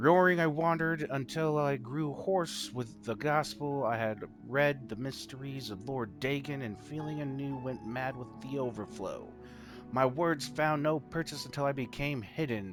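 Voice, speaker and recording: A man speaks at a medium pitch while clear music plays in the background. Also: moderate pace. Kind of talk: dramatic scripture reading. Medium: solo performance. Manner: halting, stumbles over words.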